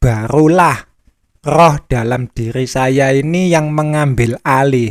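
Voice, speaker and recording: A man's fairly high voice moves at a very slow pace, with ordinary pitch variation. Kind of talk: personal spiritual reflection monologue.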